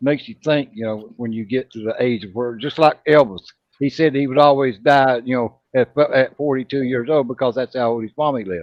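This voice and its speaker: A man with an ordinary speaking voice, medium in pitch, with ordinary pitch variation and a fairly quick pace. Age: 50s. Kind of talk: casual chat.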